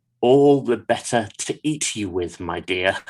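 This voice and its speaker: This is a put-on character voice with a growling sound. It moves at a moderate pace. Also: man, medium pitch for a man. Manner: growling, threatening.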